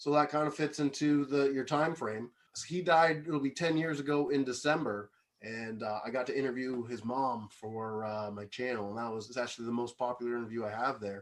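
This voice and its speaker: At a fairly quick pace, a man with a Canadian accent and an unremarkable speaking voice talks at a medium pitch with ordinary pitch variation. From Canada, Kingston Ontario area. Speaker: music video VJ and YouTuber. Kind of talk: casual chat.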